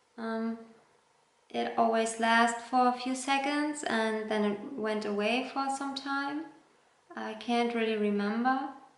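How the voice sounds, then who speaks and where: Against noticeable background noise and audible room echo, a woman with a non-native accent speaks very slowly at a fairly high pitch. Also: fairly even intonation. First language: not English. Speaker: vlogger. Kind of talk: personal storytelling. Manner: hesitant, with fillers.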